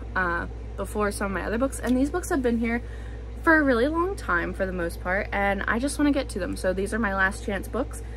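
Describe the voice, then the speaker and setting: The speech moves at a fairly quick pace. Noticeable background noise and audible room echo are present. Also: woman. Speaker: booktuber. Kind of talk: casual vlog talk. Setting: home, at bookshelves. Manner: loud to cover background noise.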